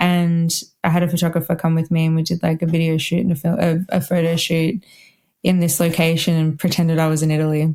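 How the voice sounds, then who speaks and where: A woman with a fairly low pitch and a dark, mellow tone talks at a very fast pace, keeping a monotone, flat intonation and very even loudness. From Australia, Melbourne. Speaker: wedding violinist. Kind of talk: podcast interview. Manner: casual, lots of fillers.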